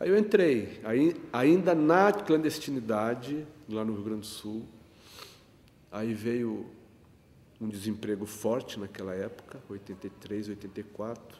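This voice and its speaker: Pausing long and often, a man talks at a fairly slow pace and medium pitch, with lively intonation and big swings in loudness. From Rio Grande, Rio Grande do Sul, Brazil. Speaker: photographer and union activist. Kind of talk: interview answer.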